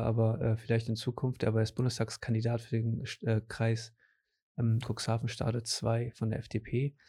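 A man talks at a moderate pace and medium pitch, somewhat breathy, with a dark, mellow tone. The recording is very clean, with a silent background. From Germany, grandson of Portuguese guest workers. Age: 20s. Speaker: podcast host. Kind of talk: casual interview chat.

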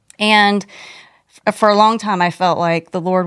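The intonation stays fairly even on a very clean recording with a silent background. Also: woman. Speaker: pastor's wife and former worship leader. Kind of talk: casual chat.

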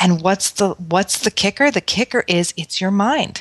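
A woman with an American accent and an unremarkable speaking voice talks at a moderate pace in a medium pitch, the sound dry and close with no echo over a quiet background. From New York City. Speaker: Ayurvedic practitioner and spa founder. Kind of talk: casual chat.

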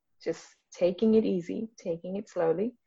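In a somewhat breathy voice, a woman talks at a fairly quick pace. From Singapore. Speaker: trauma release and Reiki practitioner. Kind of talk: interview conversation.

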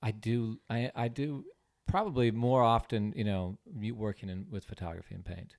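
Recorded very cleanly against a silent background, a man with an American accent and a plain, everyday voice speaks at a moderate pace in a medium pitch with ordinary pitch variation. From California, San Diego. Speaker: artist. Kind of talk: casual chat.

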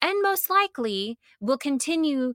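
A woman with an American accent, very wide pitch swings, and a dry, close sound with no echo. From US South. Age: 30s. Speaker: podcast host, blogger and former pastor. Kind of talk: solo podcast monologue. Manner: casual, chatty.

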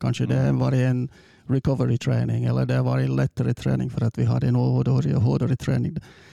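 The recording is dry and close, without any echo. The speaker is a man. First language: English (speaking Swedish). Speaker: football coach. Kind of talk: interview. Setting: studio. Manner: halting.

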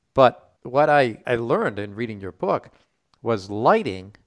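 With a normal speaking voice at medium pitch, a man speaks with lively intonation in a dry, close recording with no echo and a very clean, silent background. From US Northeast (Rhode Island). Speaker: podcast host. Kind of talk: podcast interview.

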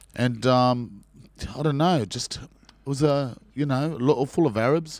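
A man with an Australian accent speaks at a medium pitch. The recording is very clean, with a silent background. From Sydney, Australia. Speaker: actor. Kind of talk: casual chat.

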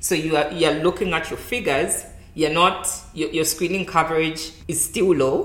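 A woman speaks at a moderate pace in a fairly low pitch, with fairly even intonation. Noticeable background noise and audible room echo are present. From Zambia. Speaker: public health specialist. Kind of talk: interview. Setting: in-person recording.

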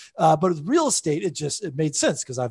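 The background is quiet. A man speaks with an American accent. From US South, suburban Atlanta, Georgia. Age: 40s. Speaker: real estate investor and author, former comedian. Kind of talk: podcast interview.

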